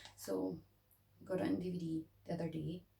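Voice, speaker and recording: In a Scottish accent, a woman speaks with a tired tone at a fairly slow pace. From Scotland. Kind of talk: casual talk to camera.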